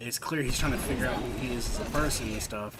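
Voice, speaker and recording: Room echo is audible around a man's voice, along with noticeable background noise. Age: 20s. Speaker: video game streamer. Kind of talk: gaming livestream chat.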